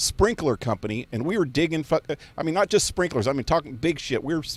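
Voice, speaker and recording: Very fast and animated, a man speaks with lively intonation in a dry, close sound with no echo. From US West, Fresno, California. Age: 60s. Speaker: gaming live streamer. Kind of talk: casual live-stream rant. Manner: halting.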